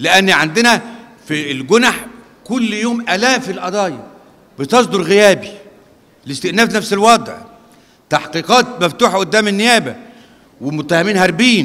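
A man talks in a raised, projected voice at a moderate pace, leaving long, frequent pauses. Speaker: lecturer at lawyers' institute. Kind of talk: lecture. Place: hall. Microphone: podium.

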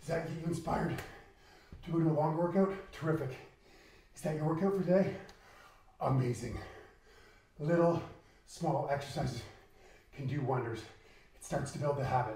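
A man's voice with big swings in loudness and audible room echo. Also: ordinary pitch variation, fairly quick pace. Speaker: fitness instructor. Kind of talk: workout coaching. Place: home room.

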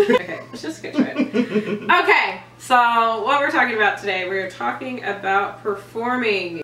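There is light background noise and audible room echo. Over it, a woman speaks in a high voice. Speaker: theme park performer and dancer. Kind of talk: casual talk to camera. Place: home room. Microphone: camera far.

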